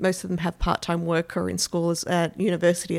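A voice with vocal fry and an Australian accent moves at a fairly quick pace on a very clean recording with a silent background. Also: woman. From Melbourne, Australia. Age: 40s. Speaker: stay-at-home mother, community member. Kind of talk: interview testimony.

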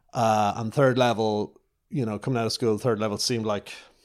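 In a Dublin accent, a man speaks with a fairly low pitch. His intonation is fairly even, and the recording is very clean with a silent background. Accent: Dublin Irish. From Ireland, north Dublin. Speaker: television director. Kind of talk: interview. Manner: casual, with many fillers.

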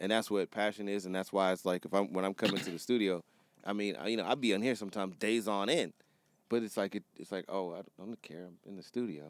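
A man with a fairly low pitch speaks at a very fast pace, his intonation fairly even and his loudness swinging widely, in a dry, close sound with no echo. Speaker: music producer and photographer, podcast co-host. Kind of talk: casual chat. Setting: studio.

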